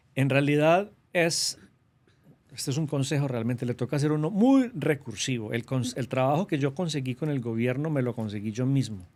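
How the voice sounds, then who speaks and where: With a strong paisa Colombian accent, a man speaks at a moderate pace in a fairly high pitch on a very clean recording with a silent background. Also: ordinary pitch variation. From Colombia, Antioquia (paisa region). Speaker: government trade representative. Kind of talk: interview.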